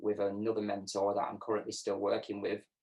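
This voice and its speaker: In a northern English accent, a man speaks with a fairly low pitch and monotone, flat intonation. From northern England, Lancashire. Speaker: program graduate, accessibility analyst. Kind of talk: interview testimony.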